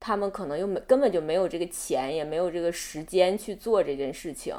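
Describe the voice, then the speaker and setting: This woman has an unremarkable speaking voice, fairly low in pitch, and she talks at a fairly quick pace. The recording is very clean, with a silent background. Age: 30s. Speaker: interviewee sharing abortion experience. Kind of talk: personal testimony in interview.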